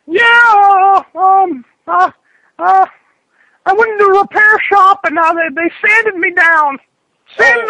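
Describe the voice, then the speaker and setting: A man puts on a character voice at an extremely high pitch, talking at a fairly slow pace with long, frequent pauses. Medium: comedy sketch. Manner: hesitant with many uh fillers, crude.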